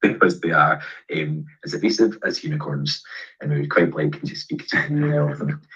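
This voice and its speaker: With a Scottish accent, a man speaks at medium pitch in a bright, sharp tone, with very wide pitch swings and vocal fry. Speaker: pharmacist, event host. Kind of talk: Q&A webinar answers. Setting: video call. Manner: fast.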